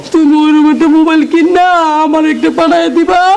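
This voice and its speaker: In a put-on character voice with a high pitch, the speaker goes at a fairly quick pace with very even loudness over clear background noise. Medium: short film. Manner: affectionate, coaxing.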